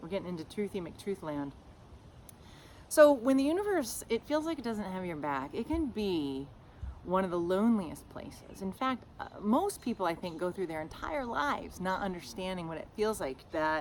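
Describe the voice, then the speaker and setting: A loud, animated voice with very wide pitch swings. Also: woman, medium pitch for a woman, moderate pace. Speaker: podcast host, shamanic teacher. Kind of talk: casual podcast monologue. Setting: outdoors, front yard.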